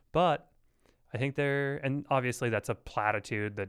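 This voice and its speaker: At a fairly slow pace, a man with an ordinary speaking voice and ordinary pitch variation is heard on a very clean recording with a silent background. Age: 30s. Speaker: podcast host. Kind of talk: casual chat.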